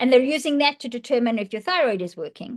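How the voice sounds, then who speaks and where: Here a woman talks at a fairly quick pace. Her voice is high-pitched, with ordinary pitch variation. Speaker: functional medicine practitioner. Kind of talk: podcast conversation. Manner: fast.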